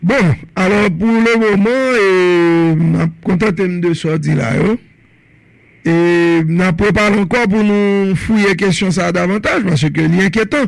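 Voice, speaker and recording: Delivery is fairly slow, with very even loudness. The pitch varies in an ordinary way. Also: man, high pitch for a man. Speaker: radio talk show host. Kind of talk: radio call-in talk show.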